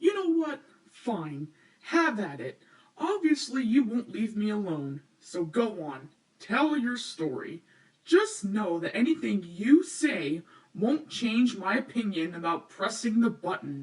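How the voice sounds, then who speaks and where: This put-on character voice is fairly high and swings very widely in pitch. The pace is fairly slow. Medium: solo performance. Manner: sarcastic, irritable.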